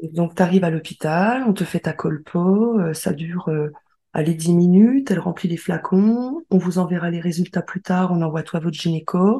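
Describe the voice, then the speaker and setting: Her voice is fairly low for a woman, dark, mellow and somewhat breathy, with ordinary pitch variation at a moderate pace. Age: 30s. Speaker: medical secretary. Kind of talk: personal testimony.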